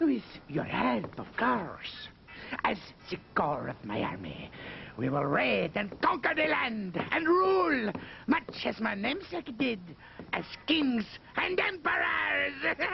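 Long, frequent pauses break up a man's high-pitched speech at a fairly slow pace. Clear background noise is audible. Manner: grandiose, cruel.

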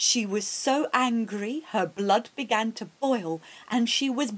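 Pitch rises and falls in an ordinary way here. The voice is a natural reading voice.

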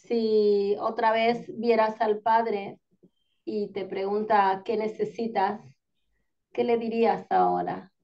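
Against a quiet background, a woman talks at a very slow pace in a dark, mellow tone with fairly even intonation. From Córdoba, Argentina. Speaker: interviewer, author; interviewer. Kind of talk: interview. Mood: warm, smiling. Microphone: video call.

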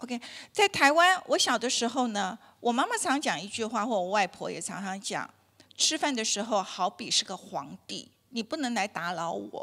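A woman's fairly high, bright and sharp voice with very wide pitch swings, at a moderate pace against a quiet background. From Taiwan. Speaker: dietitian giving a health talk; health lecturer. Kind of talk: lecture. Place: hall. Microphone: handheld.

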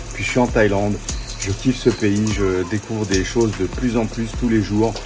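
Over loud music and clear background noise, a man mumbles in a put-on character voice. His pitch is fairly low and his pace moderate. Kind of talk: casual vlog chat. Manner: slightly mumbling, stumbling over words. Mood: relaxed, enthusiastic.

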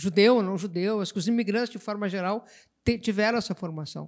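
A woman at a medium pitch and moderate pace, in a very clean recording with a silent background. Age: 60s. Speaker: writer. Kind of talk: literary panel discussion.

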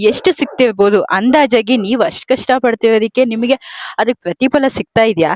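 A woman speaks in an unremarkable speaking voice with a fairly high pitch and ordinary pitch variation. The sound is dry and close, with no echo. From Mandya district, Karnataka. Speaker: interviewer, farmer's child. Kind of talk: interview.

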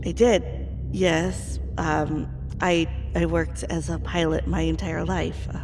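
A gruff, put-on character voice over loud music in the background. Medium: audio drama. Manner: profane, gruff, sarcastic.

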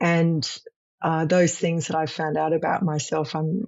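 Her voice very deep and low, a woman speaks with fairly even intonation. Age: 50s. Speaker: senior executive on career sabbatical. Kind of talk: interview. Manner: halting, many fillers.

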